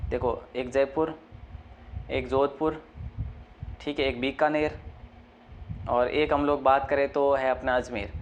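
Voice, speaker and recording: Soft-spoken, a man talks at a fairly slow pace and a fairly high pitch with fairly even intonation. He leaves long, frequent pauses. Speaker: online exam-prep teacher. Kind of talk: lecture. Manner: speaking softly.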